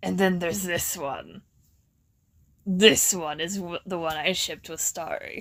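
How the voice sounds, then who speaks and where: A woman uses a put-on character voice at a fairly low pitch. She keeps a moderate pace, with long, frequent pauses. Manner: impulsive.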